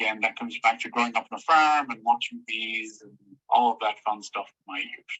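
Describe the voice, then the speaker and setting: A man with an Irish accent speaks at a fairly quick pace and a medium pitch. His pitch variation is ordinary, with big swings in loudness. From Ireland, Tipperary. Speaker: entomology professor. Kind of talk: lecture. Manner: fast.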